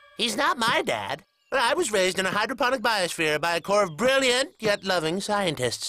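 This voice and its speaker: This is a put-on character voice from a man. It sits high in pitch and moves at a fairly quick pace. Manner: condescending, showy.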